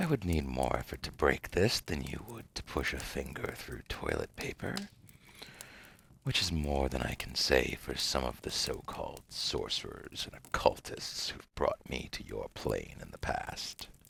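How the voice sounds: A man puts on a character voice with an extremely low pitch, big pitch swings, vocal fry, a slightly husky edge and a fairly bright tone at a fairly slow pace.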